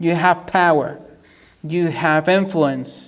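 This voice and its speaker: Talking at a fairly slow pace in a Mexican accent, a man has a high pitch and monotone, flat intonation. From Mexico. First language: Spanish. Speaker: YouTuber reacting to videos. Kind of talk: casual commentary. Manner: halting, with many repetitions and fillers.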